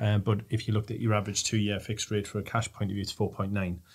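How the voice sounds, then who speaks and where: The man's voice is fairly low in pitch and somewhat breathy. He speaks at a very fast pace with monotone, flat intonation. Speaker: panelist. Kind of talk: interview answer. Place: studio. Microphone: studio mic.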